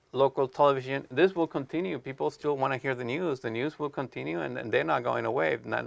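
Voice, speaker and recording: Speaking at a very fast pace with hardly any pauses, a man talks with a Mexican accent and vocal fry. His pitch is medium and his intonation lively. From Mexico. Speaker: TV videographer and editor. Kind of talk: interview. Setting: studio with live student audience. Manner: halting.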